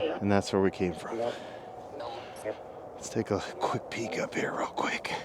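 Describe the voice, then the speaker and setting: There is noticeable background noise as a man talks at a fairly slow pace. His speech has long, frequent pauses. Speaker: outdoor vlogger. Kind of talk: vlog monologue. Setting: outdoors in woods at night.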